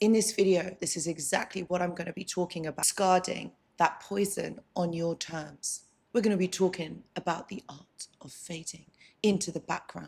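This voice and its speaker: A woman talks in an animated, somewhat breathy tone at a moderate pace. Her loudness swings widely. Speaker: relationship advice youtuber. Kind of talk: casual talk to camera.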